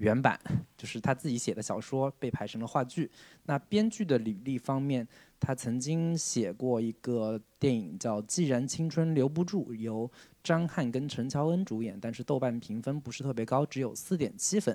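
A man at a medium pitch with a southern Chinese accent, a dark, mellow tone, lively intonation and a moderate pace, in a very clean recording with a silent background. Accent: southern Chinese accent in Mandarin. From Jiangsu-Zhejiang region, China. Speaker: film podcast host. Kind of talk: casual chat.

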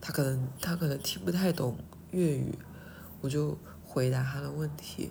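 Amid audible room echo, a woman speaks at a moderate pace in a somewhat breathy, dark, mellow voice with a very deep, low pitch. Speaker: podcaster. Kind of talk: casual monologue. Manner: halting.

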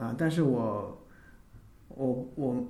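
In a room with audible echo, a man speaks at a fairly high pitch. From Northeast China. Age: 30s. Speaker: amateur band member and office worker. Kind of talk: casual interview chat.

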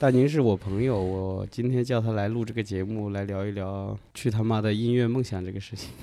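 A man with a strong Hunan accent, fairly low pitch and a dark, mellow tone, at a fairly quick pace with hardly any pauses. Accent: strong Hunan accent in Mandarin. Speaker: young artist. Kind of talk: casual chat.

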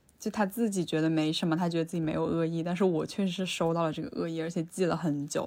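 Very fast, with hardly any pauses, a woman speaks in a dark, mellow tone at fairly low pitch with fairly even intonation, on a very clean recording with a silent background. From Changsha, Hunan. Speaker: interviewee. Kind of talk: personal testimony. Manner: hesitant.

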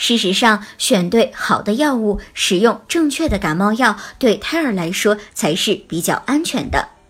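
With music in the background, a woman talks in a fairly high voice. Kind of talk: scripted narration. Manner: formal.

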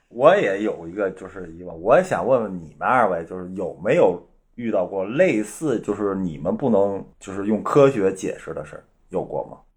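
Moderate-paced male speech in a quiet setting. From Northeast China. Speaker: guest, husband of the main guest. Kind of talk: casual chat.

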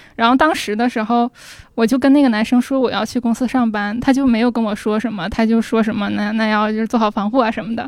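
Rattling along at a very fast pace, a woman speaks at a fairly high pitch with fairly even intonation. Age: 20s. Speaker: audience guest sharing a story. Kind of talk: casual chat before a live audience. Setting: stage with audience.

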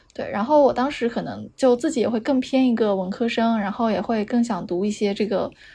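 A woman's fairly high, dark and mellow voice at a fairly quick pace, with ordinary pitch variation. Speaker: architecture student. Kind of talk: casual chat.

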